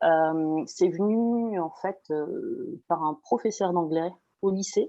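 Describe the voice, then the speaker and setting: With a dark, mellow tone, a woman speaks at medium pitch with ordinary pitch variation. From western France (Loire-Atlantique). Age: 30s. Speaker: expat parent. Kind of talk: interview conversation. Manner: hesitant, many fillers.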